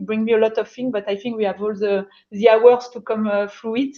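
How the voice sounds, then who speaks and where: At a fairly quick pace, a woman with a French accent speaks in a fairly high pitch with monotone, flat intonation. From France. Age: 40s. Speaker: finance executive, mentor. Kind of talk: panel discussion. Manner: halting.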